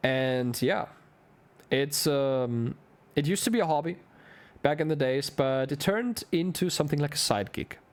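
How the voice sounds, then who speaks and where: Speaking with a German accent, a man with a fairly high pitch uses lively intonation and leaves long, frequent pauses. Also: moderate pace. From Germany. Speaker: esports caster. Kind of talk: live commentary; casual chat. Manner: animated.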